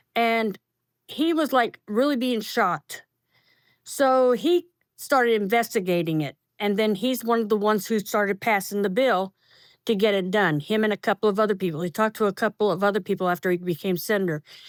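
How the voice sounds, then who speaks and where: In a Southern US accent, a woman talks at a fairly quick pace with ordinary pitch variation, on a very clean recording with a silent background and a dry, close sound with no echo. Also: medium pitch for a woman. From North Carolina. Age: 60s. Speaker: cancer survivor, military dependent. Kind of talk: interview testimony.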